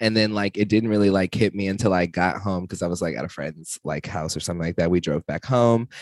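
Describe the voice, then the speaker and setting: A man's very deep, low voice with an American accent at a very fast pace, hardly any pauses, ordinary pitch variation, and a dry, close sound with no echo. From Texas. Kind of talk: casual chat.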